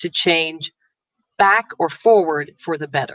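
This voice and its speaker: In a normal speaking voice, a woman with an American accent talks at a fairly slow pace with ordinary pitch variation, in a dry, close sound with no echo. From United States. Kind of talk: interview.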